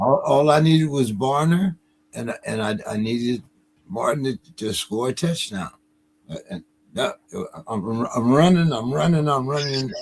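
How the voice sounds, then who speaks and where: Somewhat breathy, a man speaks at a medium pitch and moderate pace with lively intonation and long, frequent pauses. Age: 70s. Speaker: sports show host. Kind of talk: casual chat. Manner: halting, repeats words.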